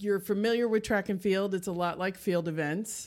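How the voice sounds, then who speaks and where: With an American accent and a plain, everyday voice, a woman speaks at a medium pitch with fairly even intonation on a very clean recording with a silent background. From Texas, Houston. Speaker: teacher and amateur athlete. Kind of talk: casual interview.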